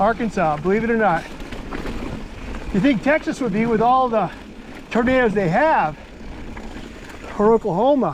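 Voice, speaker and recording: With long, frequent pauses, a man speaks at a moderate pace and high pitch, his intonation lively and his loudness very even, over noticeable background noise. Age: 60s. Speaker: mountain biking trail vlogger. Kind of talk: casual chat while riding. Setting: outdoors on a bike trail. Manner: animated.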